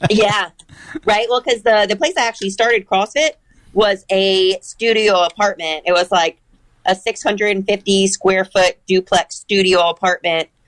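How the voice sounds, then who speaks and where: A woman speaks with a Michigan accent. Her voice sounds dry and close, with no echo. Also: medium pitch for a woman, ordinary pitch variation, moderate pace. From Michigan, Ann Arbor. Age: 30s. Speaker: CrossFit athlete. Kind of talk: casual interview.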